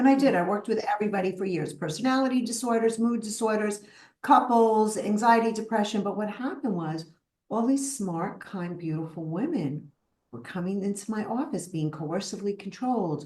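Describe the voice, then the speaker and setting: A woman's somewhat breathy, medium-pitched voice at a fairly quick pace, with a strong Brooklyn accent. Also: lively intonation. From US, Brooklyn, New York. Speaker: psychotherapist. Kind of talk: interview.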